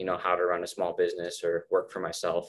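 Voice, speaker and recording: A man talks with an American accent. His pace is moderate. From Las Vegas, Nevada. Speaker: university student. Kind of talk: casual chat. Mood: relaxed, friendly. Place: home room. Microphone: webcam.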